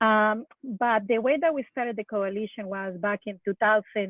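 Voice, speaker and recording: With a Colombian accent, a woman talks at a fairly high pitch and with fairly even intonation. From Colombia, Bogota. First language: Spanish. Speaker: drowning prevention coalition leader. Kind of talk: webinar panel discussion. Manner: halting, many fillers.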